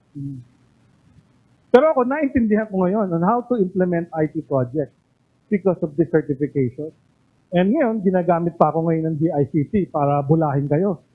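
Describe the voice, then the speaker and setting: A high-pitched man's voice with lively intonation at a moderate pace. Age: 50s. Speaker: doctor and former health official, IT governance lecturer. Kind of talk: lecture. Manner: animated.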